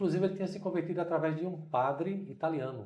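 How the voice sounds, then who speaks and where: Speaking at a very fast pace, a man with a fairly high pitch and a dark, mellow tone shows vocal fry over audible room echo. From Brazil, Recife (Pernambuco). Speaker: missionary. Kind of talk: interview storytelling.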